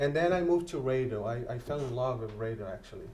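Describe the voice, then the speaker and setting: Audible room echo around a man talking fairly quickly in a medium pitch. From Brazil. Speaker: radio host and journalist. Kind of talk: interview. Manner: halting.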